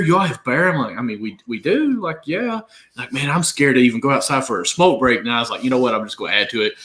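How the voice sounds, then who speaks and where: Talking at a very fast pace, a man uses a bright, sharp tone with very wide pitch swings. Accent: Southern. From Kentucky. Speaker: fantasy sports podcast co-host. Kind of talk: casual chat.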